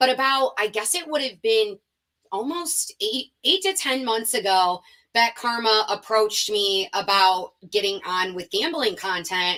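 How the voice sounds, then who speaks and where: Speaking at a fairly slow pace, a woman uses a fairly high pitch, an animated, bright and sharp tone, and lively intonation. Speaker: sports betting reporter and host. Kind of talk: podcast interview.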